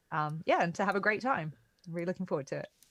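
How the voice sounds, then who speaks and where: A woman's very deep, low voice in a British accent over a quiet background. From Britain. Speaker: XR technical specialist. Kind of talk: live workshop stream. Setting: video call with slight delay.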